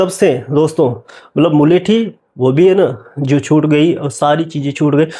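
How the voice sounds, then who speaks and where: This man's fairly high voice is somewhat breathy, with a dark, mellow tone and ordinary pitch variation. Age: 40s. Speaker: vlogger sharing personal story. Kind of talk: personal testimony. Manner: casual, filler-heavy with self-corrections.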